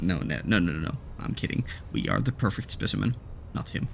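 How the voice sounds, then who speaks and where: Music plays in the background as a man speaks. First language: not English. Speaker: gaming YouTuber. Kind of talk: let's play commentary. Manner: hesitant, many fillers.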